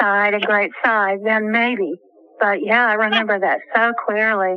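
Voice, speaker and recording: Fairly slow speech with very even loudness and fairly even intonation, music in the background. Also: woman. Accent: American. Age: 60s. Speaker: podcast co-host, former stage actor. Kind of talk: casual chat. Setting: in a car.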